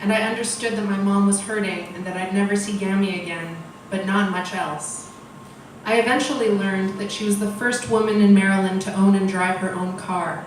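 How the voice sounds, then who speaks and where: A woman keeps her intonation fairly even while noticeable background noise runs beneath her. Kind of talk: personal story read at a storytelling event. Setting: live event.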